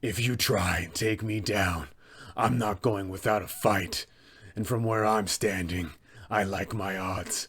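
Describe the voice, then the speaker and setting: In a raspy, fairly low put-on character voice, a man speaks. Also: fairly slow pace, fairly even intonation. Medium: role play. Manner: menacing.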